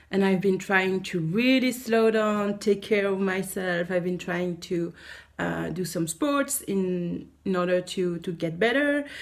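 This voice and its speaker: A woman with a French accent, medium pitch, ordinary pitch variation and a fairly slow pace. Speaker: teacher and vlogger. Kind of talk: vlog. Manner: halting.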